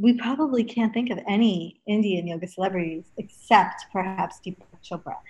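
Moving at a moderate pace with hardly any pauses, a woman with a medium pitch sounds somewhat breathy, her loudness swinging widely. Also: ordinary pitch variation. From Los Angeles, US (early years in England). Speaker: yoga teacher. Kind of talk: interview.

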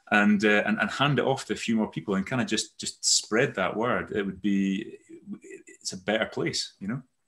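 A man speaks at a moderate pace with a slight Aberdeen accent. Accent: Scottish (Aberdeen), slight. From Netherlands-born, raised Aberdeen Scotland. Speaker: company CEO. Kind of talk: casual chat, interview. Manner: rambling, hesitant, self-correcting.

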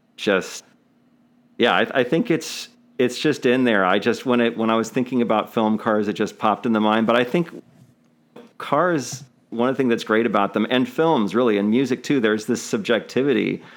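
A man with an unremarkable speaking voice talks at a moderate pace and medium pitch, with ordinary pitch variation and very even loudness, in a very clean recording with a silent background. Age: 40s. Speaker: podcast host. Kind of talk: casual chat.

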